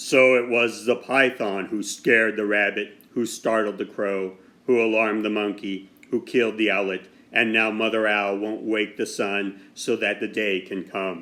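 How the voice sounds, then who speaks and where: A man puts on a character voice. It sits fairly low in pitch and moves at a moderate pace. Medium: read story. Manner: solemn, measured.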